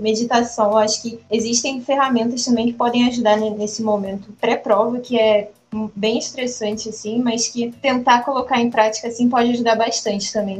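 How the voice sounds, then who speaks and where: A woman with a fairly high pitch speaks in a monotone, flat way at a moderate pace. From Rio de Janeiro, Brazil. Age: 20s. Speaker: medical student. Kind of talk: casual chat.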